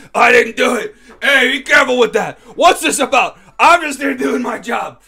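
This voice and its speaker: Shouting in a put-on character voice, a man talks at a moderate pace with an extremely high pitch. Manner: screaming, panicked, protesting.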